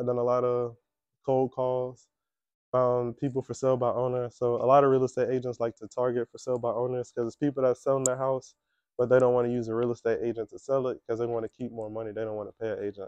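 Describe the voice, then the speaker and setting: A man at a very fast pace, medium in pitch, with monotone, flat intonation. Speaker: real estate agent. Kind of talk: career talk to students. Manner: casual, conversational.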